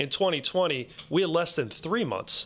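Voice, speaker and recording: Over a very clean recording with a silent background, a man with an unremarkable speaking voice talks at a moderate pace with lively intonation. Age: 40s. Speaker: mortgage loan officer. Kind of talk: interview. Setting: studio.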